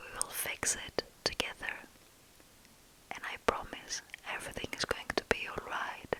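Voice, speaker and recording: Amid noticeable background noise, a woman whispers with big swings in loudness and long, frequent pauses. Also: moderate pace. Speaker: ASMR storyteller. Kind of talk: ASMR intro addressing the listener directly. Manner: whispered, soft-spoken.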